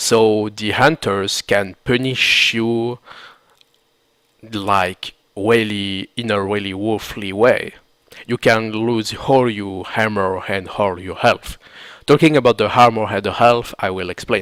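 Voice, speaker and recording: A man with a non-native accent talks at a very slow pace. His pitch is fairly low, and his intonation is fairly even. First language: not English. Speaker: gaming tutorial creator. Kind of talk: video game tutorial commentary.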